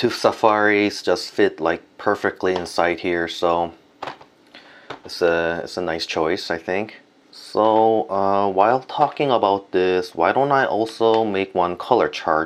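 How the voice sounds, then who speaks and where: Against noticeable background noise, a man with a Korean accent talks at a fairly slow pace in a fairly low pitch with ordinary pitch variation. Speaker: art and stationery video creator. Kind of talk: casual product review and unboxing. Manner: hesitant with many fillers.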